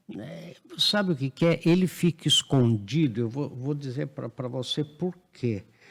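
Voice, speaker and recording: Delivered at a fairly slow pace with hardly any pauses, the voice is somewhat breathy and has lively intonation. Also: man, fairly high pitch for a man. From Brazil. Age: 70s. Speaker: professor, economics commentator. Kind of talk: podcast interview.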